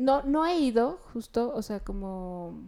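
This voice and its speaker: A dark, mellow tone marks this voice. Its very clean recording has a silent background. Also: woman. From León, Guanajuato, Mexico. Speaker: interior designer. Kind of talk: interview.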